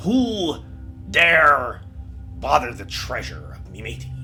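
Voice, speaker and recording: A man's put-on character voice at medium pitch and a very slow pace, with clear music in the background. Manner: mad, threatening.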